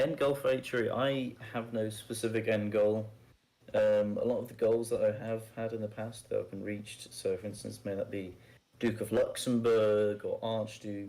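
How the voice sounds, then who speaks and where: A man speaks at a moderate pace and a medium pitch. His tone is dark and mellow, his intonation monotone and flat. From northern England. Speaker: roleplay game player interviewed on podcast. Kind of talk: casual interview.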